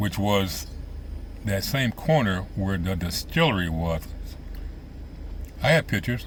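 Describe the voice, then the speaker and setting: With an American accent, a man speaks in a fairly low, somewhat breathy voice. His intonation is lively, broken by long, frequent pauses. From US Midwest, central Illinois. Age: 70s. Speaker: vlogger reminiscing. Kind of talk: casual monologue. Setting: outdoors by lake boat docks.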